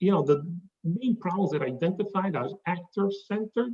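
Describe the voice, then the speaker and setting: Speech comes at a fairly quick pace with a slight Italian accent. The pitch shows ordinary variation. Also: man. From southern Italy. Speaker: consultant presenting his business. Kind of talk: business presentation. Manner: halting, many fillers.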